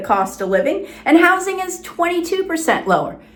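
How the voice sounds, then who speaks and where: A woman's pitch rises and falls very widely, with noticeable background noise and audible room echo around her. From South Florida. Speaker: real estate agent. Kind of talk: informational presentation to camera.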